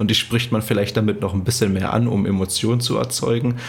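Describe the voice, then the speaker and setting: This man's fairly low voice has ordinary pitch variation over noticeable background noise. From eastern Germany, Cottbus. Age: 20s. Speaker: running content creator. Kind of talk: interview. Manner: cheerful.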